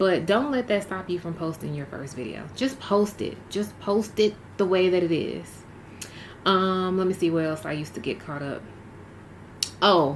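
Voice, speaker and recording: A woman's medium-pitched voice with lively intonation and long, frequent pauses. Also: moderate pace. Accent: Southern US. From Mississippi. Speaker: YouTuber.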